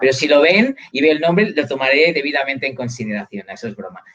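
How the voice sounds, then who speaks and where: Fairly high-pitched, a man rattles off his words at a very fast pace. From Catalonia, Spain. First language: Catalan (speaking Spanish). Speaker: university lecturer. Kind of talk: live video interview.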